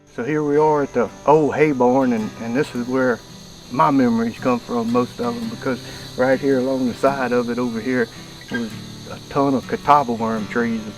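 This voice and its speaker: Over music in the background, a man with a Louisiana accent speaks at a moderate pace in a medium pitch with fairly even intonation. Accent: Louisiana Southern US. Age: 70s. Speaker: hunter and video host. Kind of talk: casual storytelling on camera. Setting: outdoors.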